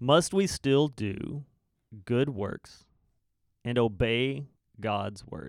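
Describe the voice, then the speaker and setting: Using a medium pitch and lively intonation, a man speaks at a very slow pace with big swings in loudness and long, frequent pauses. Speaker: podcast host, church teacher. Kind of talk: casual conversation, Bible discussion.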